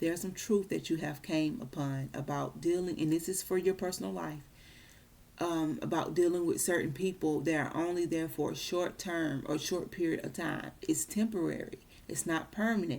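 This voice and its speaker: A woman talks at a moderate pace in a fairly low voice. Her pitch varies in an ordinary way. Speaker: tarot reader. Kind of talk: tarot reading monologue.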